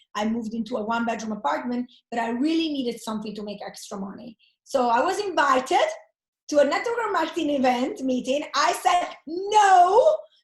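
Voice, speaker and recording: A woman with an Italian accent speaks in a high pitch, with very wide pitch swings and big swings in loudness. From Italy. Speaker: network marketer. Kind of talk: interview. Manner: animated.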